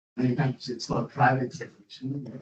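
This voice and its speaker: The man's voice is somewhat breathy. He speaks at a moderate pace. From Germany. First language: German. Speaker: university professor. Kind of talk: lecture. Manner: halting.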